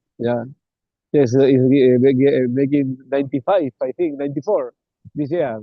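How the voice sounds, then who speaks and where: A man with a non-native accent speaks at a fairly high pitch and a moderate pace. His intonation is fairly even. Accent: non-native English accent, noticeable. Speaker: interviewer, transpersonal psychology institute host. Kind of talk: interview. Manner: repetitive, hesitant with fillers.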